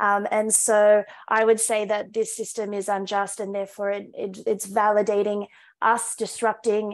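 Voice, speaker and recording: A woman with an Australian accent speaks in a monotone, flat intonation. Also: moderate pace, quiet background. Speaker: climate activist; panelist. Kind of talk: rally speech; panel discussion answer. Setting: video call. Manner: impassioned, rousing. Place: home room. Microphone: video call.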